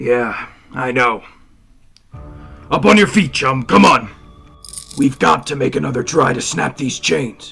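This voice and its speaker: A man's raspy, put-on character voice at medium pitch, with very wide pitch swings, long, frequent pauses and faint background music. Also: fairly slow pace. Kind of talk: 1940s radio acting. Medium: stage play. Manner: steady, commanding.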